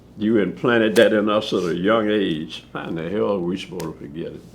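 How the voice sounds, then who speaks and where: With an American accent and ordinary pitch variation, the voice carries audible room echo. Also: man. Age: 70s. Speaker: war veteran. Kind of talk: interview testimony. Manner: animated.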